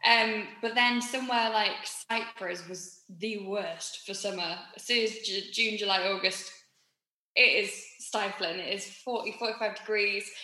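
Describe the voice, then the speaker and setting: With a Yorkshire accent, a woman speaks at a very slow pace with fairly even intonation and big swings in loudness, amid audible room echo. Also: fairly high pitch for a woman. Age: 30s. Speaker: musical theatre performer. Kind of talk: casual chat.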